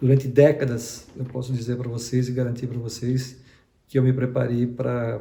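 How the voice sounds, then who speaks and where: The speech moves at a moderate pace. The tone is dark and mellow, and somewhat breathy. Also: man. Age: 60s. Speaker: retired HR executive, career mentor. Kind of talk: online lesson. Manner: halting, with fillers and repetitions.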